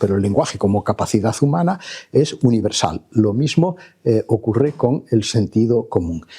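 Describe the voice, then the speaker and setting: Somewhat breathy and dark, mellow in tone, a man talks at a medium pitch. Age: 70s. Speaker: professor. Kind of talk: lecture. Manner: hesitant, many filler sounds.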